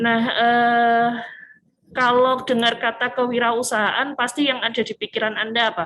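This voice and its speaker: With a strong Malang accent, a woman speaks at a fairly slow pace in a high, monotone, flat voice. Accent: strong Malang Javanese. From Indonesia, Malang (East Java). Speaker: university lecturer. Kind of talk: lecture. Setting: video call. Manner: casual, with many fillers.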